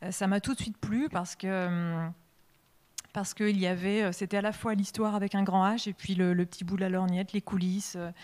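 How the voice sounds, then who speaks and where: A woman's medium-pitched voice at a fairly quick pace, with monotone, flat intonation. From western France, Deux-Sèvres countryside. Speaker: comics artist and illustrator. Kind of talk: public interview at a literary festival. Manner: halting, many hesitations.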